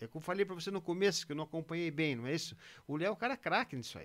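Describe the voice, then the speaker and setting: A high-pitched man's voice at a very fast pace, with lively intonation. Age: 50s. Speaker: retired racing driver. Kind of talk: casual chat.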